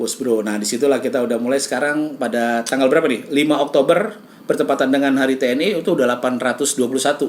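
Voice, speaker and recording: A shrill male voice at a very fast pace, hardly any pauses and ordinary pitch variation, amid noticeable background noise. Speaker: radio host and comedian. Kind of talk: casual chat.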